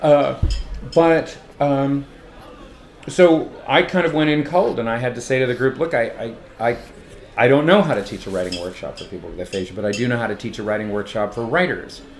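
Here a man with a West Coast US accent talks at a fairly quick pace, with lively intonation and long, frequent pauses. Noticeable background noise runs underneath. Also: medium pitch for a man. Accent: General American, West Coast. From Los Angeles. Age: 50s. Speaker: poet and teacher. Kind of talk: casual interview. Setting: hotel bar. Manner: halting, many fillers and restarts.

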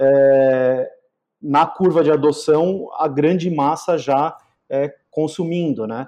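A man with a fairly high pitch and a dark, mellow tone talks at a very slow pace, his intonation fairly even. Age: 40s. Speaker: digital marketing agency CEO. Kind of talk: casual interview.

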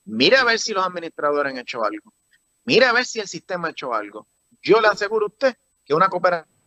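A man with a high pitch and a raised, projected voice talks at a very fast pace, with a bright, sharp tone, very wide pitch swings, and a dry, close sound with no echo. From Puerto Rico, rural. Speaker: political candidate. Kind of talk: interview. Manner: halting, repetitive.

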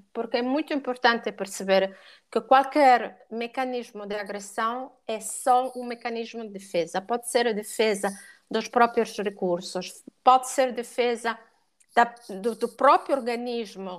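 At a fairly slow pace, a woman talks in a fairly high pitch with ordinary pitch variation and big swings in loudness. The recording is very clean with a silent background. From Italy. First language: Italian (speaking Portuguese). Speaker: dog and cat behaviour educator. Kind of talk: podcast interview.

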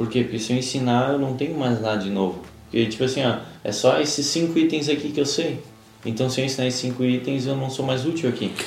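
The speech moves at a very fast pace with ordinary pitch variation. Noticeable background noise and audible room echo fill the recording. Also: man, medium pitch for a man. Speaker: podcast co-host, coach. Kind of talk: casual chat.

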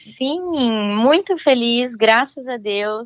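This woman's voice sits fairly high in pitch. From Brazil, São Paulo state (São José dos Campos). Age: 30s. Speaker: immigrant sharing experience. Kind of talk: interview.

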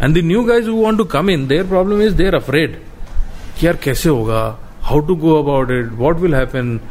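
A man talks at a moderate pace with very wide pitch swings and very even loudness. Background noise is noticeable. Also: fairly high pitch for a man. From India, Rajasthan. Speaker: former motorcycle rally racer. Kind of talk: interview.

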